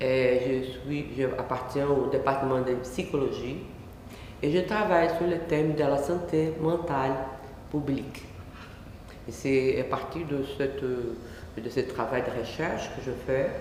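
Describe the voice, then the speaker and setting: Speaking very slowly with a non-native accent, this voice has ordinary pitch variation and long, frequent pauses, with noticeable background noise and audible room echo. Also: woman, very deep, low pitch for a woman. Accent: foreign accent in French. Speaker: academic researcher in psychology. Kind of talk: lecture. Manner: halting.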